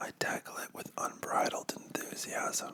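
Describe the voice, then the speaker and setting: Against noticeable background noise, a man is whispering. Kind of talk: ASMR comic book reading. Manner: whispered.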